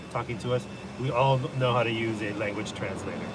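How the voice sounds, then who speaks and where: A man with a medium pitch is heard with audible room echo and noticeable background noise. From Los Angeles, US, Salvadoran family. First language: Spanish. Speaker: live streamer and NFT club host. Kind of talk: casual live stream chat. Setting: live stream with Zoom recording. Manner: hesitant, many fillers.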